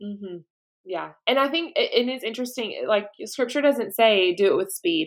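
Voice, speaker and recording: With a slight Southern US accent, a woman speaks at a moderate pace, her pitch fairly high and her intonation lively. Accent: slight Southern twang. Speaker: podcast host. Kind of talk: casual interview chat.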